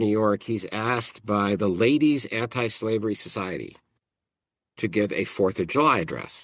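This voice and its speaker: Against a quiet background, a man speaks at a moderate pace, his pitch fairly low with ordinary variation. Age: 50s. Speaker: professor. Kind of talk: interview. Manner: halting, frequent repetitions.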